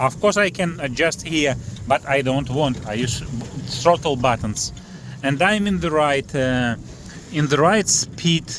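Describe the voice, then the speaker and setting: Lively intonation from a man with a non-native accent and a fairly high pitch, amid noticeable background noise. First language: not English. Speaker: fishing and boat prop reviewer. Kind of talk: casual tutorial vlog. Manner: halting, many fillers.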